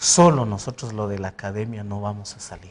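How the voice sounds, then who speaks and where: A man talks at a fairly slow pace. He has a Guatemalan accent. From Guatemala, Santa Cruz, Alta Verapaz. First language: Poqomchi' (speaking Spanish). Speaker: president of a language academy. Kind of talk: TV interview.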